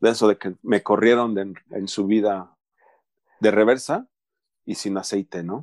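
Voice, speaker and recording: A man with a Mexican accent speaks at a fairly slow pace and fairly low pitch, with fairly even intonation, long, frequent pauses and a dry, close sound with no echo. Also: quiet background. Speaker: Mexican immigrant in Canada. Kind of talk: casual chat.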